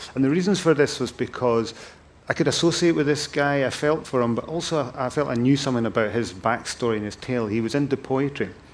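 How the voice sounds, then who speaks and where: A man at medium pitch with a northern Scottish accent, very fast pace and ordinary pitch variation. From Thurso, northern Scotland. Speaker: event chair and drugs campaigner. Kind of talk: onstage interview. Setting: stage with audience.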